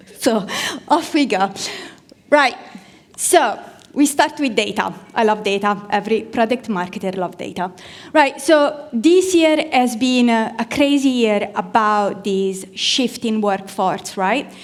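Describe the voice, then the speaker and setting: With an Italian accent, a woman speaks at a fairly slow pace, her fairly high pitch carried by lively intonation. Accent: Italian accent, rolled R's. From Italy. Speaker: product marketing manager, conference speaker. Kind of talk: conference talk. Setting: stage with audience. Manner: animated.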